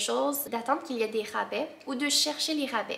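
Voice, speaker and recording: A woman with a fairly high pitch and lively intonation talks at a moderate pace over noticeable background noise. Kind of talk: casual talk to camera.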